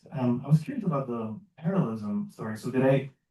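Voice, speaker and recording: Somewhat breathy male voice at a medium pitch, with a dark, mellow tone and lively intonation. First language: not English. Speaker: audience member, researcher. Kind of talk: academic Q&A question. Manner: hesitant, many fillers.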